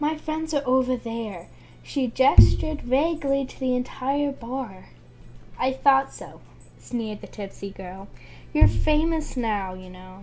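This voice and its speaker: Her tone dark and mellow, a woman speaks with lively intonation. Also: fairly slow pace, big swings in loudness. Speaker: amateur book reader. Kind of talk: reading aloud. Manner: halting.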